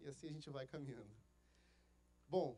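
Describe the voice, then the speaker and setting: A man's fairly high, dark, mellow voice with a Rio de Janeiro accent at a fairly quick pace. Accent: carioca. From Rio de Janeiro, Brazil. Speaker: pastor. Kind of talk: sermon. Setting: church.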